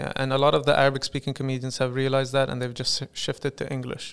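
A man's medium-pitched, very fast speech on a very clean recording with a silent background. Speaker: stand-up comedian. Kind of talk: casual interview chat. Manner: animated, jokey.

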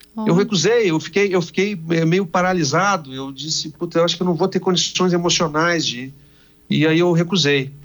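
Ordinary pitch variation in a man's high voice, moving at a moderate pace. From Brazil, Rio Grande do Sul (Santa Maria). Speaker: TV journalist. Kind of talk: radio interview.

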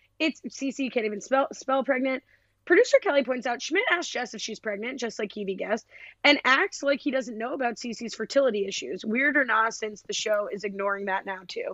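A woman talks at a fairly quick pace. Her voice sits high in pitch. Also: lively intonation. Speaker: podcast host. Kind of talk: casual chat. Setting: remote recording, poor audio. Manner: soft-spoken.

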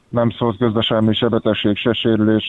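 The intonation stays monotone and flat. The man's voice sits at a medium pitch. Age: 30s. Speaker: olympic weightlifter. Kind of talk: interview. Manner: halting.

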